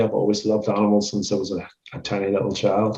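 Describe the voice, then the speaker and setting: A man talks with a Northern Irish accent. His fairly low pitch comes with a dark, mellow tone. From Northern Ireland. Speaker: animal rights street activist. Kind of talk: casual podcast conversation.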